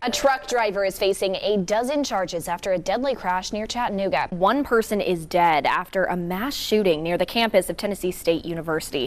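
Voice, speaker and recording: Fairly quick speech from a woman comes through noticeable background noise. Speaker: TV news anchor and reporter. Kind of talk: TV news anchoring.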